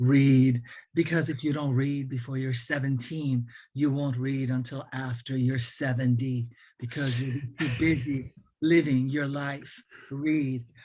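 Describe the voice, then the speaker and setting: A man's raspy, put-on character voice at medium pitch, fairly slow pace and monotone, flat intonation. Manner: firm, authoritative.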